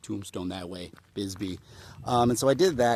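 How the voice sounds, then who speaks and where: A man speaks at a medium pitch, in a dry, close sound with no echo. Music can be heard in the background. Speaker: voice actor. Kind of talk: casual talk to camera, travel vlog. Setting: outdoors.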